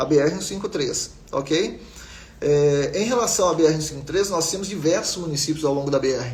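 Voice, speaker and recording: Noticeable background noise and audible room echo under speech with ordinary pitch variation. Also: man. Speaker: geography teacher. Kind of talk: live online class. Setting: live stream. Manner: fast.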